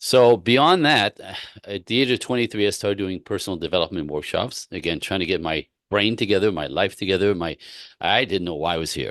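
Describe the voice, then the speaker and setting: With a Quebec accent, a man speaks at a fairly quick pace in a fairly low voice with lively intonation, recorded dry and close with no echo against a quiet background. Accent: Quebec Canadian. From Quebec City, Canada. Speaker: relationship coach. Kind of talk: interview. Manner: animated.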